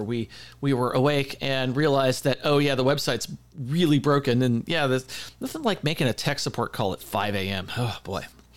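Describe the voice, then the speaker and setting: A man at medium pitch and a fairly quick pace, with ordinary pitch variation. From US West Coast. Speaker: podcast co-host. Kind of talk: casual chat. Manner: fast; halting.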